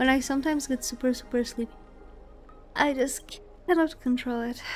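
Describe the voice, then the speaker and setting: Over background music, a woman with a high pitch mumbles at a fairly quick pace with fairly even intonation. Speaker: vtuber game streamer. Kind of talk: casual gaming livestream commentary. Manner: mumbling.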